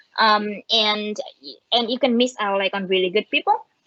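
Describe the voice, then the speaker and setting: A woman with a Vietnamese accent, fairly high pitch and ordinary pitch variation at a moderate pace, in dry, close sound with no echo. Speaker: machine learning engineer. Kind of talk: conference talk. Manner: halting, many fillers.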